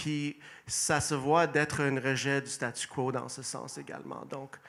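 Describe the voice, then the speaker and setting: Speaking at a very slow pace, a man with a fairly high pitch shows big swings in loudness. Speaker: mayoral candidate. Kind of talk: election debate opening statement. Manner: hesitant, with fillers and restarts.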